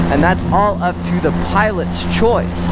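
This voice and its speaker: A man talks at a moderate pace. The sound is dry with no echo, but loud background noise is present. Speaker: paramotor pilot instructor. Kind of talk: tutorial. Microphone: headset.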